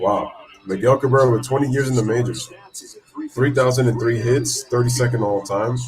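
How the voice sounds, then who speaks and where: Over noticeable background noise, a man at medium pitch speaks at a fairly quick pace with fairly even intonation. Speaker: livestream play-by-play host. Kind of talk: live play-by-play commentary with chat. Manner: casual.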